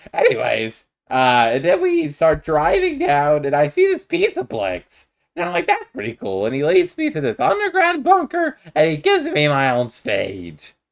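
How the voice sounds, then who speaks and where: A put-on character voice at a moderate pace, very clean recording with a silent background. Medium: machinima. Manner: laid-back, folksy.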